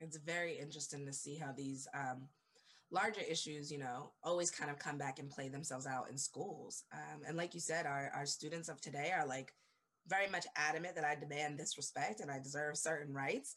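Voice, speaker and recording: A woman with a very deep, low pitch talks at a fairly quick pace, her intonation fairly even. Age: 30s. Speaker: education company founder. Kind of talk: casual chat.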